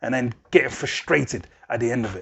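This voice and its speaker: A man's medium-pitched voice keeps fairly even intonation and a moderate pace. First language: not English. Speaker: music artist and channel host. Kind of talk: casual advice monologue. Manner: casual, filler-heavy.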